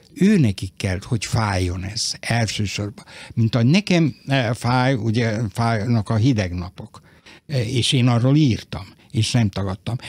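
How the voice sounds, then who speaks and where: Speaking very slowly, a man's medium-pitched, somewhat breathy voice shows ordinary pitch variation. The sound is dry with no echo, over a quiet background. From Vojvodina, Serbia (Novi Sad); Vojvodina, Serbia. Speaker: writer. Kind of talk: radio interview. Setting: studio. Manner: halting. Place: studio.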